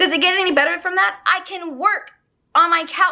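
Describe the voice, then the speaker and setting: With a bright, sharp tone, a woman raises and projects her voice. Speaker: online ESL teacher and vlogger. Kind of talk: casual vlog review.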